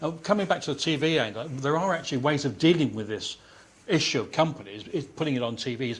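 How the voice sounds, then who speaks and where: Speaking at a very fast pace, a man uses lively intonation and a fairly high pitch. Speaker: science journalist. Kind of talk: panel discussion. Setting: audience room, waiting for a handheld mic. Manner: loud.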